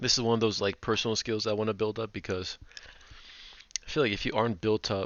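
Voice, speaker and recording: The delivery moves at a fairly quick pace with monotone, flat intonation. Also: man. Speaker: aspiring entrepreneur vlogger. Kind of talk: casual vlog monologue. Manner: fast; casual, filler-heavy.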